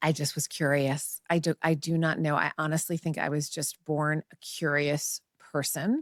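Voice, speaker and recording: A woman talks in a very deep, low pitch with monotone, flat intonation and hardly any pauses. The recording is very clean with a silent background and a dry, close sound with no echo. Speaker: journalist. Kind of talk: casual interview. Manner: fast.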